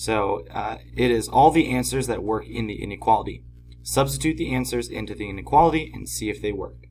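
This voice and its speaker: At a fairly quick pace, a man with a fairly low pitch and vocal fry makes very wide pitch swings and big swings in loudness. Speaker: math teacher. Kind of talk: tutorial. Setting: at home.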